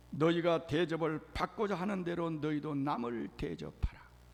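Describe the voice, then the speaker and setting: The delivery is very slow, and the pitch varies in an ordinary way. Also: man. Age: 70s. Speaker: senior pastor. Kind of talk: sermon. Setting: church.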